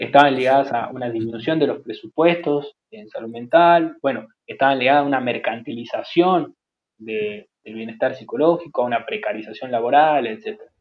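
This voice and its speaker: This man has an unremarkable speaking voice at a medium pitch with ordinary pitch variation. He speaks at a moderate pace with hardly any pauses and big swings in loudness. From Jujuy, northern Argentina. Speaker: psychologist. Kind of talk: interview.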